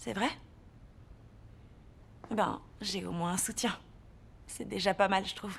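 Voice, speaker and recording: Over a fairly slow pace, a woman of medium pitch leaves long, frequent pauses. Her pitch variation is ordinary, while her loudness swings widely. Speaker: voice actor. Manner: awkward, apologetic, conversational.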